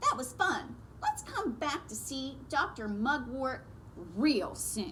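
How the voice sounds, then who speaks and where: A female-sounding put-on character voice is raised and projected at a fairly slow pace. Clear background noise is present. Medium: read story. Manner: playful, whiny.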